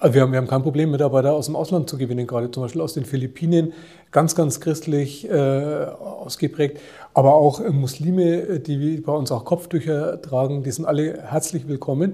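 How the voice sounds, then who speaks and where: A man with a slight Franconian accent and a dark, mellow tone speaks at a moderate pace, somewhat breathy, with fairly even intonation. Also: fairly high pitch for a man. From Franconia, Germany (Nuremberg). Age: 50s. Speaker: hospital group chief executive. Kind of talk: interview.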